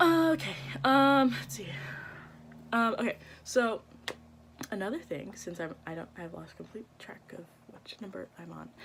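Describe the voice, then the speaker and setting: A woman speaks fairly slowly with long, frequent pauses and vocal fry, her medium pitch swinging very widely and her loudness shifting a lot. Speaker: vlogger. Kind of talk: casual vlog monologue. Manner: halting, many fillers.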